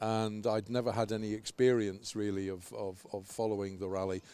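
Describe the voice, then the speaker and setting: A man's dark, mellow voice at a fairly low pitch and a moderate pace. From northern England, south Liverpool. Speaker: rally radio commentator and retired university teacher. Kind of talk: casual interview. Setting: outdoors.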